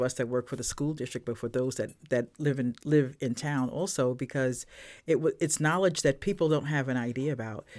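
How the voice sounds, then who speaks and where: Very deep and low in pitch, a woman speaks with an American accent at a moderate pace, with ordinary pitch variation and hardly any pauses. The recording is very clean, with a silent background. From Brooklyn, New York. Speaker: school equity coordinator. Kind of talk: interview. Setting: outdoors in a park.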